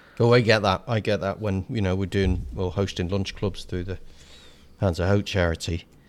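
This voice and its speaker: The speaker talks at a moderate pace with a southern English accent. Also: man, very deep, low pitch for a man, ordinary pitch variation. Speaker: podcast co-host. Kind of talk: casual banter chat. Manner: jokey, self-mocking, talks over partner.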